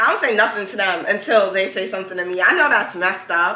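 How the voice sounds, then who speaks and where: Over noticeable background noise and audible room echo, a woman with a New York accent speaks very fast in an animated tone. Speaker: podcast host. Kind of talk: casual chat.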